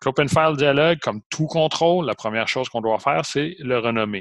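A man with an unremarkable speaking voice talks at a moderate pace with lively intonation. The sound is dry and close with no echo, over a quiet background. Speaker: college programming teacher. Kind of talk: online lecture.

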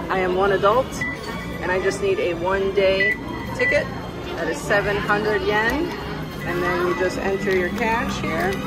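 Over loud music in the background, a woman speaks at a fairly slow pace with long, frequent pauses. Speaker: travel vlogger. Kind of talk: casual vlog chat. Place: station. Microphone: phone near.

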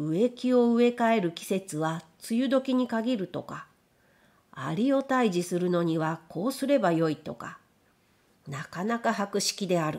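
A woman with a plain, everyday voice speaks at a fairly slow pace, medium in pitch with lively intonation, on a very clean recording with a silent background. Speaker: audiobook narrator. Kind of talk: literary audiobook reading.

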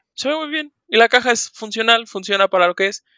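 Raising and projecting his voice, a man speaks with a bright, sharp tone and lively intonation, the sound dry and close with no echo. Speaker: board game hobbyist. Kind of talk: casual chat.

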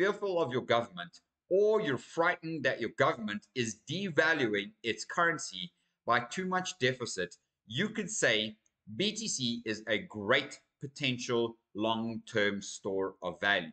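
A man's bright, sharp voice with very wide pitch swings, at a fairly slow pace against a quiet background. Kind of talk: commentary. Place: home room.

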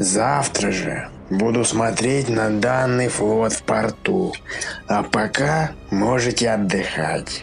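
A man of medium pitch at a fairly slow pace, over clear background music. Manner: commanding, blustering.

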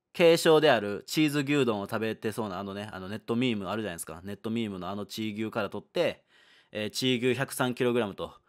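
Lively intonation runs through a man's ordinary speaking voice at a fairly quick pace. The recording is very clean, with a silent background. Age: 20s. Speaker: gaming YouTuber. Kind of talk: solo video monologue announcement. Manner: casual, relaxed.

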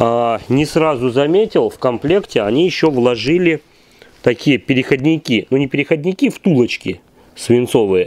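A man's fairly high voice, lively in intonation, very even in loudness, at a moderate pace. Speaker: generator repair workshop owner reviewing equipment. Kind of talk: product review tutorial. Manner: halting. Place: workshop. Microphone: phone near.

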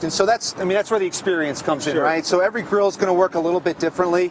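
With light background noise and a dry sound lacking echo, a man speaks in a high pitch with fairly even intonation. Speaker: guest. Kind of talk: interview answer, cooking demo. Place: street.

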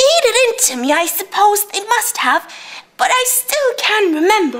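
Putting on a squeaky character voice, a woman speaks at an extremely high pitch with very wide pitch swings and a moderate pace. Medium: stage play. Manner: rambling, repetitive.

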